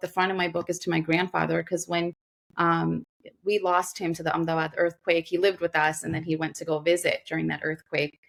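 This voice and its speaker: This woman talks with a New York accent. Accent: New York American. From US, Queens, New York. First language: Gujarati. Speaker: doctor, lawyer and author. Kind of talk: podcast interview. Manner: halting.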